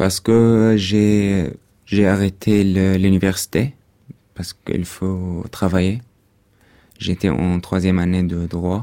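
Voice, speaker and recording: A man speaks very slowly with an Arabic accent, his pitch very deep and low. His tone is dark and mellow, and his intonation is fairly even. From Syria (Damascus), partly raised in Dubai. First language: Arabic (speaking French). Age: 20s. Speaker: refugee, former law student. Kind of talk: testimony. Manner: halting.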